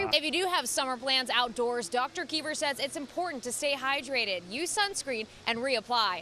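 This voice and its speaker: A high-pitched woman in an American accent, raised and projected, with lively intonation, a moderate pace and hardly any pauses. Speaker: TV news anchor and reporter. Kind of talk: studio news anchor delivery.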